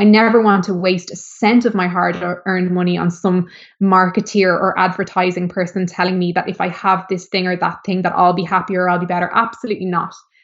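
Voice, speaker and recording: Speaking with an Irish accent, a woman keeps a medium pitch and a monotone, flat intonation, moving at a fairly quick pace with hardly any pauses. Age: 30s. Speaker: former model and DJ turned author. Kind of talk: interview conversation. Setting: video call.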